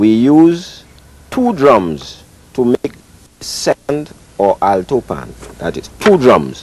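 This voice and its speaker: Very slow in pace, a man speaks with very wide pitch swings. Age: 60s. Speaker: steel pan maker. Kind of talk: interview explanation.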